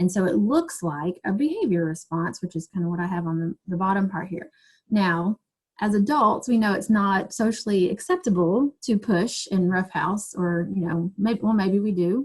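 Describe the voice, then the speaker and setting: Somewhat breathy, a woman speaks at a medium pitch with ordinary pitch variation. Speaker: teacher and trauma-informed education trainer. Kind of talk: webinar presentation. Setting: online video webinar. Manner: fast.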